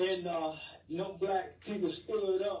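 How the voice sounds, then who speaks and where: Talking at a fairly slow pace, a man uses a high pitch and monotone, flat intonation amid audible room echo. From Alabama, US South (Tuscaloosa). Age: 70s. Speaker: radio caller. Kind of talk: call-in opinion. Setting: phone call.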